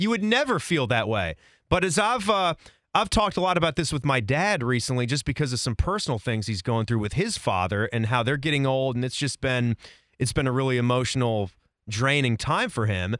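Very wide pitch swings from a medium-pitched man with an American accent, at a fairly quick pace. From Northern Virginia. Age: 30s. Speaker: sports podcast host. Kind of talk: casual chat. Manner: animated.

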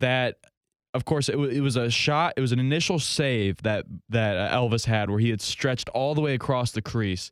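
Speaking at a fairly quick pace, a man uses an ordinary speaking voice with ordinary pitch variation, on a very clean recording with a silent background. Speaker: podcast host. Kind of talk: casual sports podcast talk, rambling and opinionated.

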